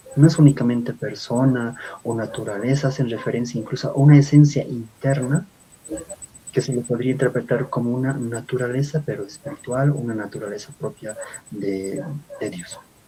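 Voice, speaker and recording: Over noticeable background noise, a man of medium pitch speaks at a moderate pace with big swings in loudness. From Bolivia. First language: Aymara (speaking Spanish). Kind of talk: lecture-style talk.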